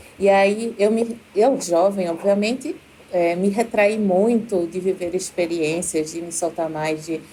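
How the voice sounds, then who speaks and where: A woman's intonation rises and falls in a lively way as she talks at a fairly slow pace. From Brazil, Recife. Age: 30s. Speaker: university professor, doctoral student. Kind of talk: podcast interview, personal story.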